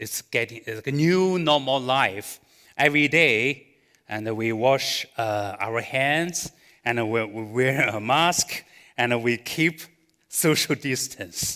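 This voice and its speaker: A man speaks at a medium pitch in a Chinese accent, with ordinary pitch variation. His tone is bright and sharp, and his pace is very slow. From China. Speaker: pastor. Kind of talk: sermon. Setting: church with live audience, streamed online. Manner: halting, many fillers.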